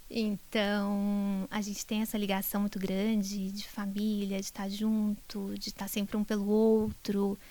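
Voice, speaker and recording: In a Brazilian accent, a woman speaks at a very slow pace with hardly any pauses, her medium-pitched voice dark and mellow with monotone, flat intonation. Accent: countryside Brazilian. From Brazil, interior (countryside). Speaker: neurologist, professor. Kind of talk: interview.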